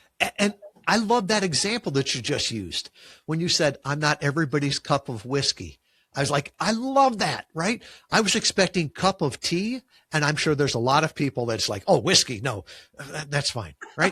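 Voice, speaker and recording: A man with a Chicago accent speaks at a moderate pace in a bright, sharp, fairly high voice with very wide pitch swings. The recording is very clean, with a silent background. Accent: Chicago, drops final g. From US Midwest, Chicago. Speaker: podcast guesting agency founder. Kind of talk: interview conversation. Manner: uses filler words.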